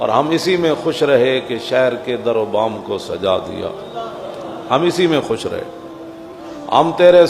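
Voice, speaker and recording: A man with a fairly high pitch and ordinary pitch variation is heard through noticeable background noise. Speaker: Islamic preacher. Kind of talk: religious sermon.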